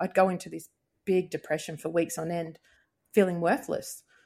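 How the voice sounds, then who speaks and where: In an Australian accent, a woman speaks at a moderate pace and fairly low pitch with monotone, flat intonation, on a very clean recording with a silent background. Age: 40s. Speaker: podcast guest sharing ADHD story. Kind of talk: casual interview.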